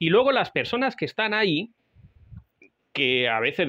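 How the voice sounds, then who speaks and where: The man has a high pitch with very wide pitch swings. His pace is moderate. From Spain. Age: 40s. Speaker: podcast host and survival instructor. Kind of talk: solo podcast monologue. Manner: halting, with frequent fillers.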